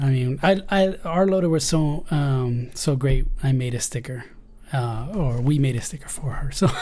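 Amid audible room echo, a man with a fairly high pitch and a dark, mellow tone speaks somewhat breathily at a moderate pace. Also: ordinary pitch variation. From Spain, then San Diego from age 14. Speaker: Steadicam operator. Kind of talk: casual chat.

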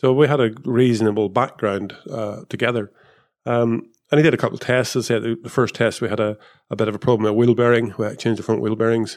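Speaking at a very fast pace with a Northern Irish accent, the voice keeps a fairly even intonation. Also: man, medium pitch for a man, quiet background. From Northern Ireland. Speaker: former Formula 1 technical director. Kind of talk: casual chat.

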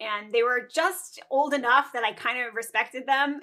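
A woman's voice is raised and projected. Her pitch is high. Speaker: neonatal nurse practitioner and entrepreneur. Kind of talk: casual interview chat. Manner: fast; animated.

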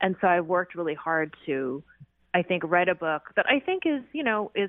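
The speaker has a West Coast accent. The pace is moderate. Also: woman. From US Pacific Northwest, Seattle. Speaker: historian and author. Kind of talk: radio interview.

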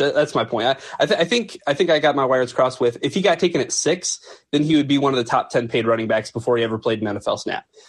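Talking at a very fast pace, a man uses lively intonation in a somewhat breathy voice. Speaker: sports website senior editor, co-host. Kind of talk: live call-in sports talk show.

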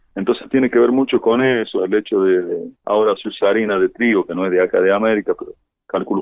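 A man's plain, everyday voice at a fairly quick pace, with fairly even intonation. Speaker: musician and songwriter. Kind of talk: interview.

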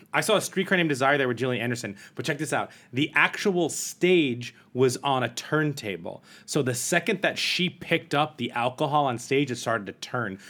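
In a very clean recording with a silent background, a man with a plain, everyday voice and fairly high pitch speaks fairly quickly with lively intonation and hardly any pauses. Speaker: podcast host. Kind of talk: casual chat. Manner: jokey, bantering.

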